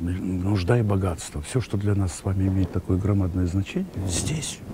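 The speech moves at an even, middling speed while distinct noise fills the background. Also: man. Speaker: theatre actor. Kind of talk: interview answer. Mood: reflective, thoughtful. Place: hall.

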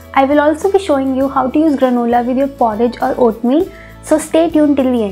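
Faint music plays behind a woman who speaks very fast at a high pitch, with ordinary pitch variation. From India. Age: 20s. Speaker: home cook, food vlogger. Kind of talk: casual talk to camera. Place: home room. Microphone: lapel.

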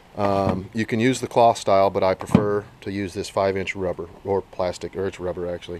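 At a fairly quick pace, a man speaks in a dry sound with no echo amid noticeable background noise. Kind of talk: tutorial. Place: garage. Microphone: phone near.

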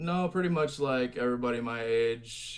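A man with an American accent speaks with fairly even intonation. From Michigan. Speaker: metal musician; guest. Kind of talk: casual interview. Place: home room. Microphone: video call.

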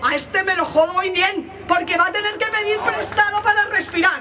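Over noticeable background noise, a woman speaks fairly quickly in a raised, projected voice at an extremely high pitch. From Madrid (Vallecas); Madrid. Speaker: activist speaker; speaker. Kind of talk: rally speech. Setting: outdoor street demonstration. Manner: loud. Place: street. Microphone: pa.

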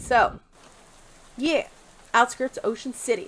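Speech at a fairly slow pace comes over light background noise. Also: woman. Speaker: let's play gamer. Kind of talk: casual let's play commentary with reading of game text. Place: home room. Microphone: headset.

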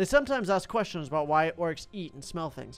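A man's voice over faint music in the background. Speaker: gaming streamer.

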